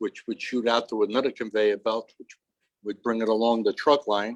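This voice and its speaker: In a New York accent, a man talks at a moderate pace and medium pitch, with a dry, close sound and no echo. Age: 70s. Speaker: retired longshoreman. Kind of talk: oral history interview. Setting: aboard a barge with small audience.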